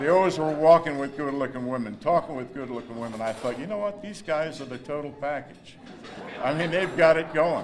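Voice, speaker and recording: A man with an American accent speaks at a fairly quick pace in a fairly high pitch for a man, his loudness swinging widely. Room echo is audible, and background noise is noticeable. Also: ordinary pitch variation. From northern New Jersey, US. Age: 70s. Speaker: hall of fame inductee, former athlete. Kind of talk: acceptance speech. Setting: banquet hall with audience.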